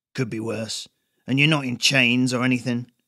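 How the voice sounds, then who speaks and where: A man's raspy, put-on character voice at medium pitch, in a monotone, flat intonation. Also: moderate pace. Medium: read story. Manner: casual, wry, colloquial.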